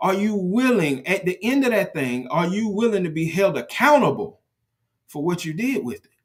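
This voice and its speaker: Animated in tone, a man speaks at a moderate pace with a high pitch that swings very widely. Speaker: podcast host and leadership speaker. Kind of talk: motivational podcast talk. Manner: animated, repetitive emphasis.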